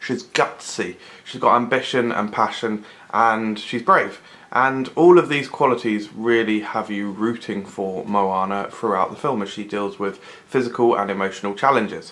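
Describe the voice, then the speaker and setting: A man's voice at a moderate pace, with ordinary pitch variation. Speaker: film reviewer. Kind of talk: movie review commentary. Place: home room. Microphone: phone near.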